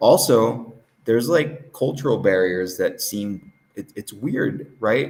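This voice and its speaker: Big swings in loudness, a very slow pace and lively intonation. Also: man, medium pitch for a man. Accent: Southern California. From Southern California. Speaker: interview guest, English teacher. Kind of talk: casual interview chat. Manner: casual, filler-heavy.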